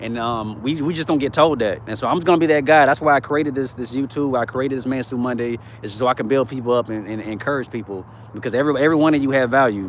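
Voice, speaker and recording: Noticeable background noise sits under a man's voice. He speaks at a very fast pace in a medium pitch with ordinary pitch variation. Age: 30s. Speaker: motivational livestreamer. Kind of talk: livestream chat. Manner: casual, repetitive.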